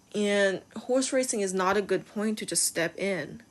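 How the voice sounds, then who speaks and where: A woman with a Chinese accent, very slow, with ordinary pitch variation. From China. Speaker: video game streamer and horse lover. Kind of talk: casual vlog commentary.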